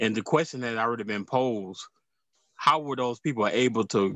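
A man talks at a fairly quick pace with ordinary pitch variation. The sound is dry with no echo, over a quiet background. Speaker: prophet leading prayer; prophet hosting prayer stream. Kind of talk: group prayer, online service. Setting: video call. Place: home room. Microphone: phone near.

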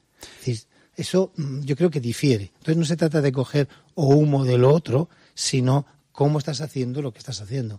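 A man speaks in a calm tone at a fairly high pitch, with a dark, mellow, somewhat breathy quality. His pitch varies in an ordinary way, and the sound is dry and close with no echo. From Spain, Valencia. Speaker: museum director. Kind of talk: interview.

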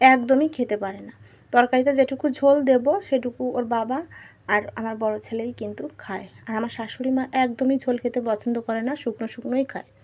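Her intonation stays fairly even. This woman's voice sits high. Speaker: cooking and home vlogger. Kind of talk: vlog voiceover narration. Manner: casual, chatty.

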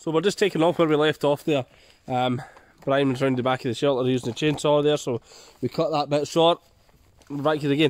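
Talking at a fairly quick pace with long, frequent pauses, a man with a Scottish accent uses a fairly high pitch and fairly even intonation. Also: dry sound with no echo. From Scotland. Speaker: bushcraft video creator. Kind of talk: outdoor tutorial vlog. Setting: outdoors in forest. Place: forest. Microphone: phone near.

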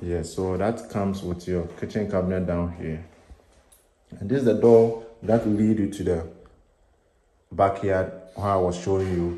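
Over audible room echo, a man with a very deep, low pitch and a dark, mellow tone speaks with fairly even intonation and long, frequent pauses. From Ghana. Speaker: real estate agent. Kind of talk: property tour video. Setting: walking tour of a house. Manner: casual, rambling narration. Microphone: phone near.

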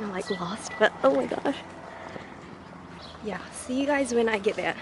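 A woman with a fairly high pitch speaks with ordinary pitch variation and long, frequent pauses. The sound is dry with no echo, and noticeable background noise is present. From New Zealand. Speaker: vlogger. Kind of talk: casual vlog talk to camera. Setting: outdoors. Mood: cheerful, chatty.

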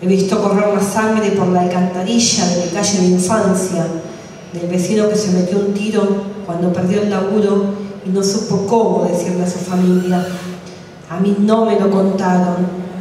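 In a room with strong echo and light background noise, a woman speaks at a moderate pace with monotone, flat intonation. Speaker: open mic poet. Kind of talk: poetry reading. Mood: grave, solemn. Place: cafe.

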